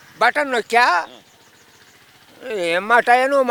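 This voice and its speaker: Bright and sharp in tone, a man's extremely high-pitched, animated voice comes through with a dry, close sound and no echo. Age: 80s+. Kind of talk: street interview answer. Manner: animated, scornful.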